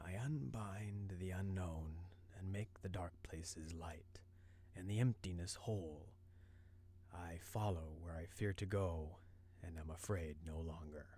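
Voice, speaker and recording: A man's hoarse, put-on character voice, very deep and low in pitch, at a fairly slow pace over clear background noise. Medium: read story. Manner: calm, serene.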